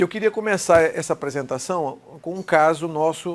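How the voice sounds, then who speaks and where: A man's voice with ordinary pitch variation. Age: 60s. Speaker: cardiologist, electrophysiologist. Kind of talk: medical lecture. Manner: informal, conversational.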